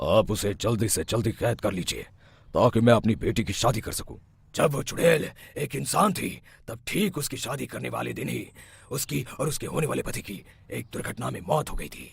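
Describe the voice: Using a cartoonish character voice, a man talks at a moderate pace and medium pitch, his loudness swinging widely.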